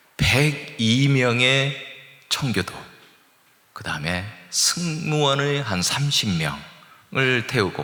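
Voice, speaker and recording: A man with a medium pitch and lively intonation speaks with long, frequent pauses, amid audible room echo and noticeable background noise. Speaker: guest pastor and seminary professor, former missionary. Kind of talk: sermon. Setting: church. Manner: plain, easy-to-follow.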